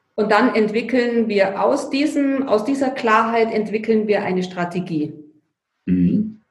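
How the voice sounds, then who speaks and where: Audible room echo surrounds a woman who speaks very slowly at a fairly high pitch. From Bavaria, Allgäu (Füssen). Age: 50s. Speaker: financial coach. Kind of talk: interview. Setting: remote call.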